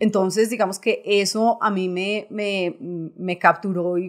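Over a quiet background, a woman talks with fairly even intonation. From Colombia, Boyacá; Colombia. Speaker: bank executive; guest. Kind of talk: interview. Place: studio. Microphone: studio mic.

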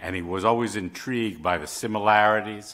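A man with fairly even intonation at a fairly quick pace. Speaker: journal editor and moderator. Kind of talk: event moderation. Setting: stage with audience. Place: hall. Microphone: podium.

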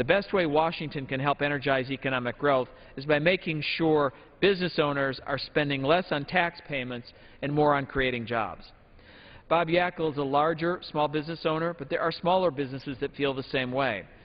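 Speaking with an American accent, a man with a fairly high voice moves at a fairly quick pace, his pitch varying in an ordinary way. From Michigan. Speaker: member of Congress. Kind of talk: floor speech in legislative debate. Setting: House chamber. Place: hall. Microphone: podium.

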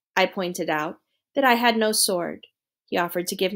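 Someone does plain reading aloud with ordinary pitch variation. Behind the voice, the background stays quiet.

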